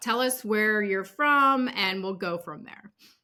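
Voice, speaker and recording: Bright and sharp in tone, a woman with an American accent speaks with lively intonation. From US Pacific Northwest, Seattle. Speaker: podcast host. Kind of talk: podcast interview; scripted intro.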